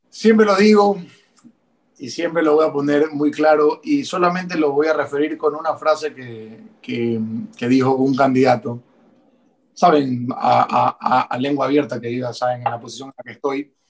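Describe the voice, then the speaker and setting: Fairly high pitch for a man, ordinary pitch variation, moderate pace. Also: big swings in loudness. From Ecuador. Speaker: politician. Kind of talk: interview. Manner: halting.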